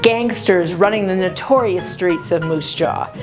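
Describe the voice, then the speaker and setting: A woman speaks at a fairly slow pace while music plays clearly in the background. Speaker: tour guide host. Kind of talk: promotional tour presentation. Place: tunnel cave. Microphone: lapel.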